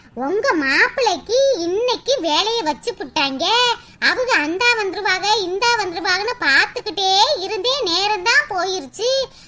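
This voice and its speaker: A woman's cartoonish character voice, extremely high in pitch, with lively intonation and a fairly slow pace. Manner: sweet-talking.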